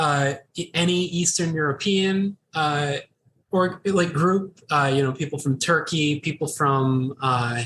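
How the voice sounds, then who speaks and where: With ordinary pitch variation, a man delivers his words fairly slowly. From United States. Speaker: podcast co-host. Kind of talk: casual chat. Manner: halting.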